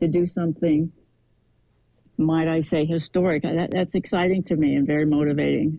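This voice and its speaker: A woman's voice sits very deep and low. She speaks at a moderate pace with monotone, flat intonation. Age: 70s. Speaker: para table tennis player. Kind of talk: interview answer.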